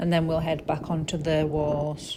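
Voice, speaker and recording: The voice has a dark, mellow tone and is somewhat breathy. It moves at a moderate pace. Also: woman. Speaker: travel blogger. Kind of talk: travel tour narration.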